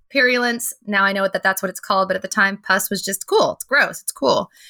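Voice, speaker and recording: A woman's fairly high, bright, sharp voice at a fairly quick pace, with fairly even intonation and a dry, close sound with no echo. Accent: American. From Pennsylvania, US. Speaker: veterinary technician. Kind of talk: casual interview.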